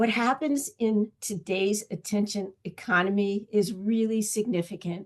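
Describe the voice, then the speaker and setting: Against a quiet background, a woman with an ordinary speaking voice talks fairly slowly at a medium pitch with ordinary pitch variation. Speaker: webinar host and presenter. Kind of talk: online training presentation.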